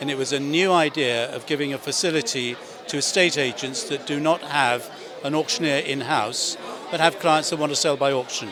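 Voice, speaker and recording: A man with a British accent talks at a fairly quick pace, his pitch fairly high with ordinary variation. Crowd noise fills the background. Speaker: auctioneer and chairman of a property auction house. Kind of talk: interview answer.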